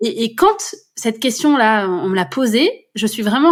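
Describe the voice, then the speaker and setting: This woman's pitch sits fairly high. She speaks at a fairly slow pace. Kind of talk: podcast interview answer. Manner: natural, fluent, upbeat.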